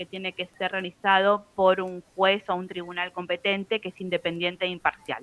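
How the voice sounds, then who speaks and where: A woman's ordinary speaking voice at medium pitch and moderate pace. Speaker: university law lecturer. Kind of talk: lecture.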